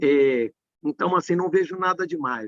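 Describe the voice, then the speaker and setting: High-pitched male speech with lively intonation at a moderate pace, dry and close with no echo. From Brazil, Minas Gerais. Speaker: tax law professor. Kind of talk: live stream conversation.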